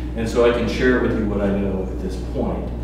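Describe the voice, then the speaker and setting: A man's voice is heard with strong room echo. Noticeable background noise is also present. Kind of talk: meeting answer to public comment. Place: meeting room.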